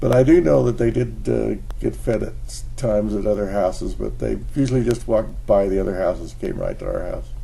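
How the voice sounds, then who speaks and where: Fairly quick speech with hardly any pauses and audible room echo. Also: man. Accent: American. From Utah, Salt Lake City. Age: 80s+. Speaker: retired engineer sharing life lessons. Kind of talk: casual monologue vlog. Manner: halting.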